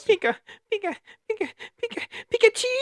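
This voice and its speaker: This is a put-on character voice at an extremely high pitch. It races along at a very fast pace. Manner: cute, chirpy.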